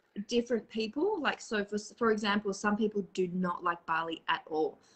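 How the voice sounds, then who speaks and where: With an Australian accent, a woman speaks at a fairly quick pace and medium pitch, keeping very even loudness and ordinary pitch variation. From Australia, Perth. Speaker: spiritual live streamer. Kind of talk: casual chat. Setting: live video stream.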